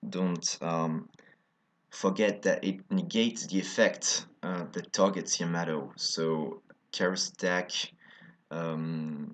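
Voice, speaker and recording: A man speaks at a very slow pace in a French accent. The background is quiet. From France. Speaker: card game video creator. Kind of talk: deck profile tutorial. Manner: halting, many fillers.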